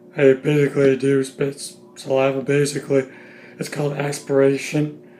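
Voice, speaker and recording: Over noticeable background noise, a man with a fairly high pitch talks at a moderate pace in a monotone, flat intonation. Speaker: YouTuber reviewing TV shows. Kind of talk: casual vlog review. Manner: halting with many fillers and restarts; pacing around while talking.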